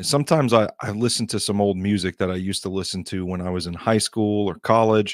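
A man's fairly low, fairly quick voice with ordinary pitch variation and big swings in loudness, dry with no echo, over a quiet background. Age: 30s. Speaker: podcast host. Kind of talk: casual monologue. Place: studio. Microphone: studio mic.

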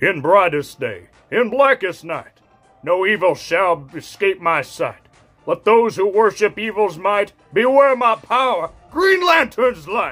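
A man puts on a high-pitched character voice at a fairly slow pace. Faint music plays in the background. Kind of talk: solemn heroic oath.

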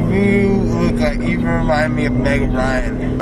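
Over music in the background, a man talks in a dry recording with no echo. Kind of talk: slurred drowsy chat. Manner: slow, dreamy, slurred drugged speech.

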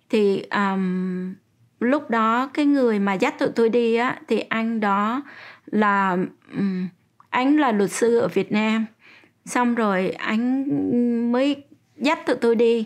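Against a quiet background, a woman speaks at a very slow pace with long, frequent pauses, very even loudness and ordinary pitch variation. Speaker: interviewee. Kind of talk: interview answer. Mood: calm, reflective recounting. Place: home room.

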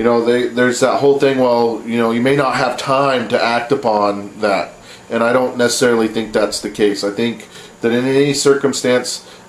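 A man at a moderate pace with monotone, flat intonation, audible room echo and light background noise. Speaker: vlogger. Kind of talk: opinion commentary vlog. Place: home room. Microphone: webcam.

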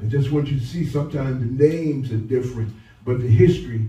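Audible room echo surrounds a man whose tone is dark and mellow and somewhat breathy. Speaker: pastor. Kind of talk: sermon. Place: church.

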